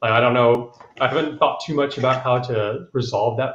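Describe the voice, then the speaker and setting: Speaking at a fairly quick pace, a man with an American accent has a somewhat breathy voice at a medium pitch. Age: 30s. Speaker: congressional candidate. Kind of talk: panel discussion. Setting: live stream.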